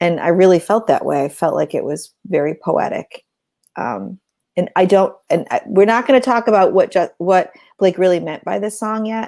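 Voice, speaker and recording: A woman speaks with a dark, mellow tone and some vocal fry. Her medium pitch has ordinary variation, and her pace is moderate. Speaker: podcast co-host. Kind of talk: casual chat. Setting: livestream. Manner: loud.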